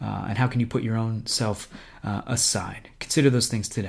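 A man with an American accent talks at a moderate pace in a somewhat breathy, medium-pitched voice with fairly even intonation. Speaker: missionary. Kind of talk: ministry update podcast.

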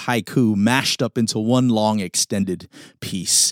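A man speaks in an animated, dramatic tone. The recording is very clean, with a silent background. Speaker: podcaster, pastor and spoken word poet. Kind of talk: spoken word poetry performance, a rhythmic poetic delivery. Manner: animated, rhythmic, emphatic cadence with dramatic pauses.

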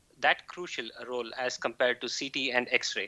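A man with an Indian accent and a bright, sharp tone, at a fairly slow pace, on a very clean recording with a silent background. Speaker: physician and PhD researcher. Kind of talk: casual chat.

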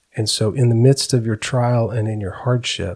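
Somewhat breathy, with a dark, mellow tone, a man talks at a fairly slow pace and a medium pitch. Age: 40s. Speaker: pastor. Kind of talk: testimony. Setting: studio.

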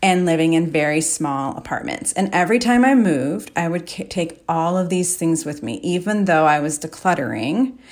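Speaking at a moderate pace with hardly any pauses, a woman has an unremarkable speaking voice, a fairly low pitch and lively intonation. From US Midwest, Chicago area. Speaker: declutter coach, podcast host. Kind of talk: solo monologue podcast. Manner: casual, with frequent fillers.

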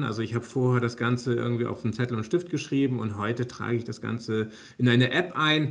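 A man's somewhat breathy voice at a medium pitch. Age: 40s. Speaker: software company managing director. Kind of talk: interview.

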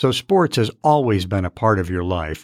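Recorded very cleanly against a silent background, with a dry, close sound and no echo, a man with an American accent uses a normal speaking voice at a fairly low pitch and a moderate pace. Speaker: podcast host. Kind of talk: casual interview. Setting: studio.

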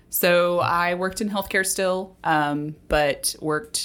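A woman speaks with an ordinary speaking voice in an American accent, fairly low in pitch and at a fairly slow pace. The recording is very clean with a silent background. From Texas (Dallas and Houston). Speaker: podcast co-host, healthcare operations director. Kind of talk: casual chat.

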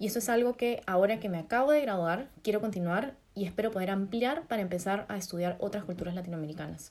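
A woman with a Peruvian accent, medium pitch and ordinary pitch variation, at a very fast pace. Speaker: fashion designer and podcast co-host. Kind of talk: casual chat.

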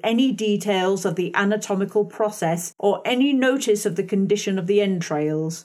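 Reading voice, natural

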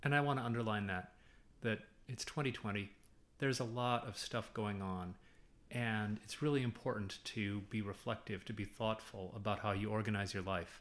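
Speaking at a moderate pace, a man has an unremarkable speaking voice. His pitch sits fairly low. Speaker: university professor. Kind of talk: casual interview chat.

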